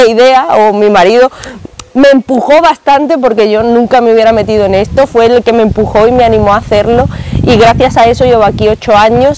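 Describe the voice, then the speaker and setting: A woman talks at a moderate pace with ordinary pitch variation, the sound dry with no echo and light background noise behind her. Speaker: book vlogger. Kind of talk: casual vlog chat. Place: garden. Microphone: lapel.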